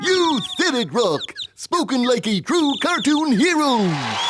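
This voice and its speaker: A cartoonish character voice pitched high. It moves at a fairly slow pace. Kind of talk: classic cartoon comedy. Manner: goofy, slow-witted, cheerful.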